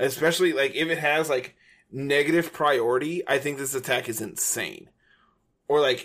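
With a normal speaking voice, a man talks at a moderate pace, his pitch fairly high and his intonation fairly even. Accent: American. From United States. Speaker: podcast host. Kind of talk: casual chat.

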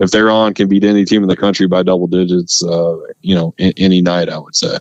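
A man with a normal speaking voice talks with fairly even intonation. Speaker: sportswriter. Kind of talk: casual sports interview.

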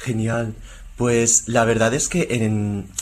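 A man with a fairly low voice talks at a very slow pace. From Spain (moved from Taiwan as a baby). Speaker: musician and author. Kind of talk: interview.

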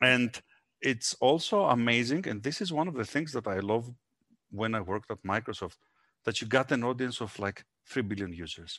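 Speaking at a moderate pace against a quiet background, a man with a Greek accent has a medium-pitched voice, a bright, sharp tone and lively intonation. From Greece. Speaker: entrepreneur. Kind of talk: interview.

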